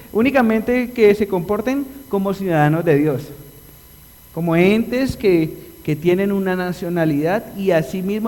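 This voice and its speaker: A man with a Colombian accent speaks at a high pitch, and his pitch varies in an ordinary way. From Colombia (Antioquia, paisa region). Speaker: pastor. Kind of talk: sermon. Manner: animated.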